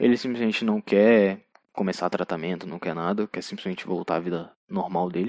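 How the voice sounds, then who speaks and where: A man with an unremarkable speaking voice and a fairly low pitch talks at a fairly quick pace with ordinary pitch variation. The background is quiet and the sound is dry and close with no echo. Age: 20s. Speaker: podcast host. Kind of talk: solo monologue film review.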